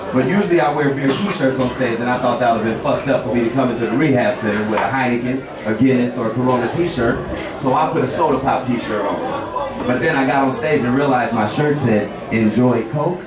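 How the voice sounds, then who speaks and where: A man with an American accent talks at a fairly quick pace. Loud background noise and audible room echo are present. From Portland, Oregon. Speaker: stand-up comedian and host. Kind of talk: stand-up comedy: profane, crowd-baiting storytelling, setup-punchline jokes. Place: stage.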